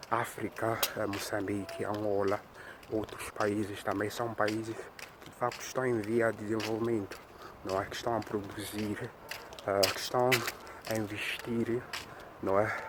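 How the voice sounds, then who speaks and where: Talking at a fairly slow pace in a Mozambican accent, a man keeps a flat, monotone intonation, with long, frequent pauses and noticeable background noise. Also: fairly low pitch for a man. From Mozambique. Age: 20s. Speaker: YouTuber. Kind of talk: walking vlog narration. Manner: hesitant, many fillers.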